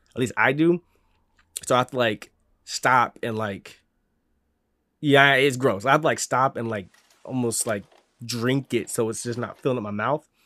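A man's medium-pitched voice with a bright, sharp tone, ordinary pitch variation and a moderate pace, with long, frequent pauses and a dry, close sound with no echo. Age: 20s. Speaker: streamer and podcast host. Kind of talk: casual solo monologue. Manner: casual, filler-heavy.

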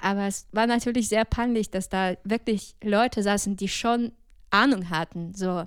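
An unremarkable speaking voice from a woman, medium in pitch with fairly even intonation, at a fairly slow pace on a very clean recording with a silent background. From Ukraine, Odessa region. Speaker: jazz singer and music student. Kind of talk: casual interview.

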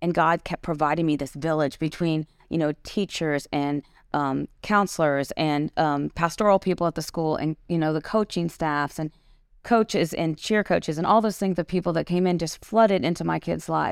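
With an American accent, a woman speaks in a normal speaking voice at a moderate pace, her pitch fairly low with ordinary variation, in a very clean recording with a silent background and a dry, close sound with no echo. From small town US. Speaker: podcast host and author. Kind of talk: casual chat. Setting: studio.

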